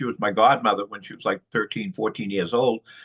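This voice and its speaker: A man speaks with an American accent. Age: 60s. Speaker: Rotary polio committee head, speaker. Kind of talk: talk to an online club meeting. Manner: halting, many repetitions and fillers.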